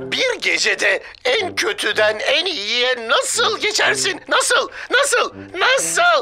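A woman's cartoonish character voice, high and bright with a sharp tone, big pitch swings and a slow pace, over faint music in the background

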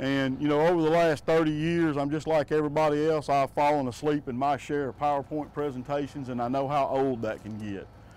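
Fairly even in intonation, a man speaks at a moderate pace in a dry sound with no echo. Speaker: utility safety instructor. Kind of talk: safety briefing to a group. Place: open country. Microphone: lapel.

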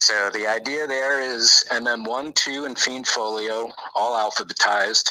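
Delivered at a fairly slow pace, a normal speaking voice keeps a fairly even intonation. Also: man, medium pitch for a man. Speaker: game fan-project creator. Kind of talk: casual interview chat. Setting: remote call on live stream.

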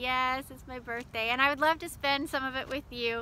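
A woman speaks in a high, raised and projected voice with fairly even intonation, the sound dry with no echo. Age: 40s. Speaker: ministry leader and online show host; ministry host. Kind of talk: casual video invitation. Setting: outdoors by a lake. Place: beach. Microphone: phone near.

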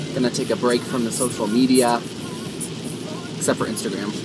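A man talks with music in the background. The sound is dry with no echo. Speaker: vlogger driving. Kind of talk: casual vlog chat. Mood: cheerful, relaxed. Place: car. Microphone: phone near.

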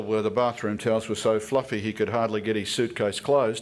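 An Australian-accented man talks very fast at a medium pitch, his intonation flat and monotone. The background is quiet. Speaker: political commentator. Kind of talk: speech. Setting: stage with audience. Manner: formal.

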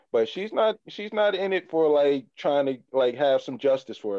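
At a moderate pace, a man talks in a fairly high voice with lively intonation. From US Midwest. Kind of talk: casual chat. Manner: halting.

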